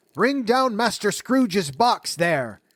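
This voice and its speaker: A man shouts in a put-on character voice, pitched high and swinging very widely. His pace is fairly slow. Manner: shouting.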